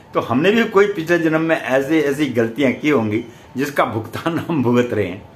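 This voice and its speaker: A man with a fairly high pitch speaks with lively intonation. The room echo is audible, and there is noticeable background noise. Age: 70s. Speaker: astrologer. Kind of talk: spiritual talk to camera.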